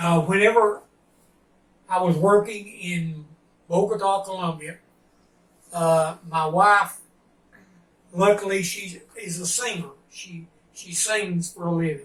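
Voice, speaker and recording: In a Tennessee accent, a high-pitched man talks at a fairly slow pace with fairly even intonation and long, frequent pauses. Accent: Southern US (Tennessee). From US South, Tennessee. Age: 70s. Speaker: retired printer. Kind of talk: interview. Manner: halting, many fillers.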